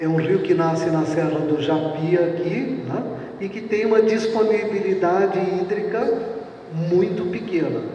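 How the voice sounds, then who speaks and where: A man with a high-pitched voice speaks at a very slow pace with ordinary pitch variation, noticeable background noise and audible room echo. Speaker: water utility engineer giving a talk. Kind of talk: lecture.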